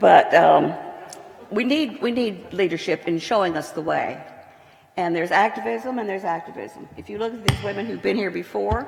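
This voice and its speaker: Over noticeable background noise and audible room echo, a woman with an American accent speaks at a moderate pace and medium pitch, with very wide pitch swings and big swings in loudness. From Texas. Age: 80s+. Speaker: retired television producer and lecture sponsor. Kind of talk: public speech.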